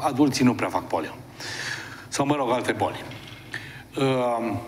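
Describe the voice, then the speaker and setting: A man's medium-pitched voice at a fairly slow pace with ordinary pitch variation, amid noticeable background noise and audible room echo. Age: 60s. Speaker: TV host and therapist. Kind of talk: TV talk monologue. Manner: conversational, animated.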